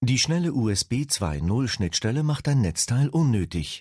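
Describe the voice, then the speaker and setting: A man's somewhat breathy, dark, mellow voice at medium pitch, upbeat in tone, with very wide pitch swings and a very slow pace, in a dry, close sound with no echo over a quiet background. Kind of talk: infomercial, polished product-promo voiceover. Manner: smooth, upbeat and persuasive, brisk and clearly enunciated; formal, addressing the viewer politely as Sie.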